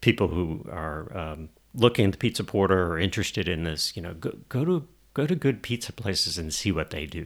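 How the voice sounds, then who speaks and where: Fairly quick speech with a Georgia accent and lively intonation, on a very clean recording with a silent background. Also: man. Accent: Southern American (Georgia). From US South, Albany, Georgia. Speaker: inventor and entrepreneur. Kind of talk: casual interview. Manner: hesitant, many fillers.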